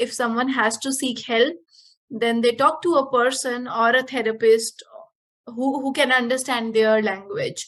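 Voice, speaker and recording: Against a very clean recording with a silent background, a woman with an Indian accent speaks at a high pitch, a fairly slow pace and with fairly even intonation. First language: Punjabi. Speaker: yoga teacher. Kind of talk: casual interview. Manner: halting.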